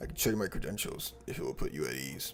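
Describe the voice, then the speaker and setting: A man's raspy, put-on character voice at a very fast pace over clear background noise. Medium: game stream. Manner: formal.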